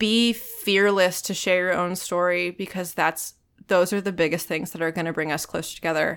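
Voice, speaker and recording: A woman with an American accent and a fairly low pitch speaks at a moderate pace with fairly even intonation, in a plain, everyday voice, on a very clean recording with a silent background. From Virginia Beach, US. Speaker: actor and singer. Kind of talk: casual chat. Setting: studio.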